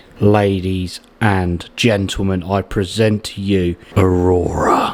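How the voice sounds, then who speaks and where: Over noticeable background noise, a man speaks with an English accent. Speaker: YouTuber and streamer. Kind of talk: setup tour walkthrough. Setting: home setup, sitting on floor. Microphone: studio microphone.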